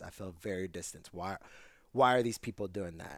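A man with an American accent has an unremarkable speaking voice, fairly low in pitch with fairly even intonation. He talks at a fairly quick pace in a very clean recording with a silent background. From South Jersey, US. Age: 30s. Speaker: musician. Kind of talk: casual chat.

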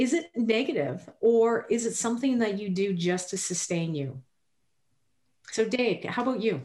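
A woman's somewhat breathy, dark, mellow tone at fairly high pitch, very wide pitch swings, moderate pace. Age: 50s. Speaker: podcast co-host. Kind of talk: casual chat.

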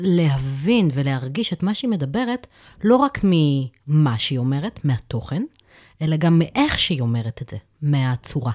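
A woman's voice swings very widely in pitch, recorded with a dry, close sound, no echo, and a very clean, silent background. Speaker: social worker and therapist. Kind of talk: expert advice discussion.

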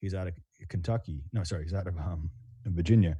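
The speaker has an American accent and a dark, mellow tone. The voice is somewhat breathy. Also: man, very clean recording, silent background. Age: 40s. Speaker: custom home builder. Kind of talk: casual chat.

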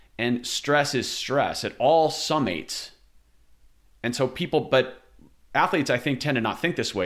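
Pitch moves with ordinary variation. The recording is very clean, with a silent background. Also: man. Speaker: podcast host. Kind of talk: interview conversation. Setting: recorded at home, echoey. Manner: playful, wordy, humorous.

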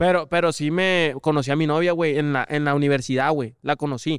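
Recorded very cleanly against a silent background, a man speaks at a fairly high pitch with a dry, close sound and no echo. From Mexico, small town. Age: 20s. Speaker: former youth footballer. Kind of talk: casual chat.

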